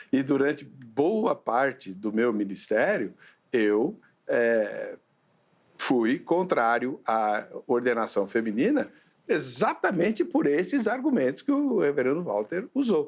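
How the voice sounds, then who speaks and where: A man talks at a very slow pace with a fairly high pitch. His pitch swings very widely while his loudness stays very even. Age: 60s. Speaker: pastor and theological debate show host. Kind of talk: theological debate.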